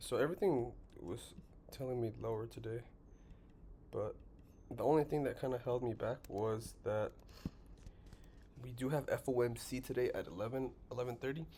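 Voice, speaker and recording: With long, frequent pauses, a man talks in a somewhat breathy, medium-pitched voice with ordinary pitch variation. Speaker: trading educator. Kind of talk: tutorial. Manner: fast.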